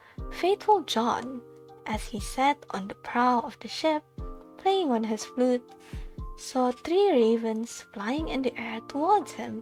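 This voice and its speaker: Whispering and soft-spoken over background music, a woman talks at a very slow pace, her loudness rising and falling in big swings. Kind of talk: fairy tale narration, whispered bedtime reading. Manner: whispered, soft.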